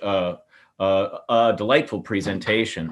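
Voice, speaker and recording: A man with a Midwestern American accent and fairly even intonation. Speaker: architecture professor. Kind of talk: webinar lecture. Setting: video call.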